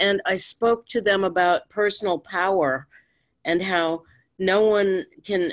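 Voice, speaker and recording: In a quiet background, a woman talks at a very slow pace. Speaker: meeting host, cooperative member; meeting host. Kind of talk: casual discussion. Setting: video call. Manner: animated. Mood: enthusiastic, warm. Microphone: video call.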